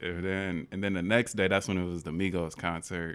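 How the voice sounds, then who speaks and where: A very deep, low-pitched male voice, monotone and flat, at a moderate pace. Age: 20s. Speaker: podcast guest. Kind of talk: casual chat.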